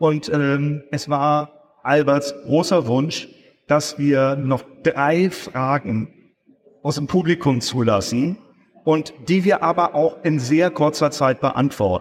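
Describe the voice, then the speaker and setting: Here a man speaks at a very slow pace. His pitch is fairly high. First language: German. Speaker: event organizer. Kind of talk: stage moderation. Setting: stage with audience. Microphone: poor audience recording.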